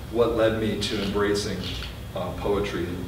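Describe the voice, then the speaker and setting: At a fairly slow pace, a man with a fairly low pitch speaks amid noticeable background noise and audible room echo. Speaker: poet giving a reading. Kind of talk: introduction before a poetry reading. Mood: relaxed, lightly humorous. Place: shop. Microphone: camera far.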